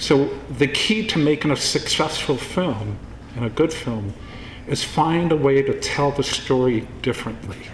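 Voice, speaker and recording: With noticeable background noise behind it, the voice has lively intonation and a fairly slow pace. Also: man, fairly high pitch for a man. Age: 60s. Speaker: filmmaker. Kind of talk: award acceptance speech.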